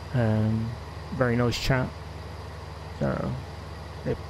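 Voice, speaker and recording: With a strong West Country accent, a man speaks at a fairly slow pace. Audible room echo and noticeable background noise fill the recording. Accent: West Country, still strong. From West Country, England (Gloucestershire). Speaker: gaming streamer. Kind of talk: live gameplay stream chat. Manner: halting, many fillers.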